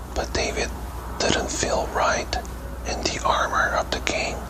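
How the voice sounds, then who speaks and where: A whisper moves at a very slow pace while noticeable noise fills the background. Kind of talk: bedtime story reading. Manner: whispered.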